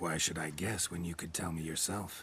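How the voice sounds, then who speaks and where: A man puts on a character voice that is raspy and very deep and low, delivered in a deadpan tone. He keeps a moderate pace over clear background noise. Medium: video game. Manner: terse, clipped, deadpan.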